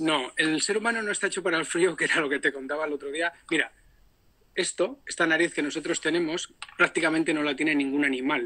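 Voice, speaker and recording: This man has a fairly high pitch and a bright, sharp tone. He talks at a very fast pace with ordinary pitch variation. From Spain, Palencia; Spain. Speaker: polar explorer; guest. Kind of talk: instructional talk. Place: home room. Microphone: video call.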